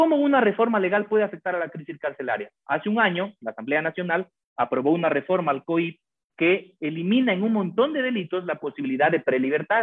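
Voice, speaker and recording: High male speech marked by very wide swings in pitch. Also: fairly quick pace. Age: 40s. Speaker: criminal lawyer. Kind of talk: interview.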